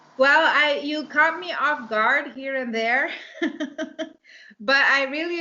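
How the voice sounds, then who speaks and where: A woman speaks fairly slowly with a Dutch accent. Her pitch varies in an ordinary way. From Netherlands, raised abroad from age five. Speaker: romance author and English teacher. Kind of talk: interview. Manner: hesitant, many fillers.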